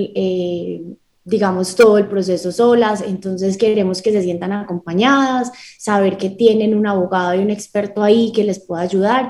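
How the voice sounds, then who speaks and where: This woman's voice has a dark, mellow tone and is somewhat breathy. She talks at a moderate pace with fairly even intonation. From Colombia, Medellín. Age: 20s. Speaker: lawyer and startup founder. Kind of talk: radio interview.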